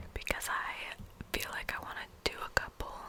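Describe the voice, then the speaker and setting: A woman whispers over noticeable background noise. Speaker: ASMR artist. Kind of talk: ASMR whisper rambling to camera. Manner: whispered, rambling, casual.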